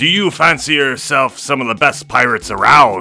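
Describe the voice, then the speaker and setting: Putting on a character voice, a man speaks at a medium pitch and a moderate pace while faint music plays in the background. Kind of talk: pirate-themed intro. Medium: role play.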